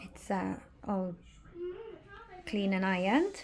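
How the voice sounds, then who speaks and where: Recorded very cleanly against a silent background, a woman with an English accent speaks at a fairly slow pace and a medium pitch. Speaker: vlogger. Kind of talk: casual vlog monologue. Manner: halting.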